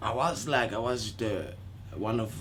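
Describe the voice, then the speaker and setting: A man speaks with a Congolese accent. His voice is somewhat breathy. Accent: non-native, Congolese French. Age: 30s. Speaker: dance choreographer. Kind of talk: interview.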